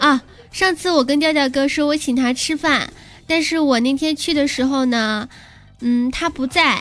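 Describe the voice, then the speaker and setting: At a fairly slow pace, a woman speaks in a high pitch with very even loudness. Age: 20s. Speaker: podcast host. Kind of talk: comedic monologue. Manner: animated.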